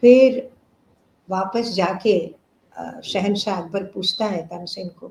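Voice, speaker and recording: With a non-native accent, a woman speaks at a medium pitch with ordinary pitch variation and big swings in loudness. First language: not Hindi (speaking Hindi). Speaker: classical vocalist. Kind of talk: interview. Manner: halting.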